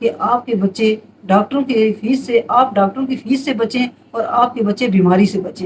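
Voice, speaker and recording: This is a woman with a normal speaking voice pitched fairly high. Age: 60s. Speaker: home remedy advisor. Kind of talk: casual advice monologue.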